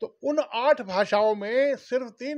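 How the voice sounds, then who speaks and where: The speaker has a Bihari accent and lively intonation, set against a quiet background. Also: man. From Bhojpuri-speaking region of India. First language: Bhojpuri (speaking Hindi). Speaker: Bhojpuri language activist, former government official. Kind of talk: interview. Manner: formal.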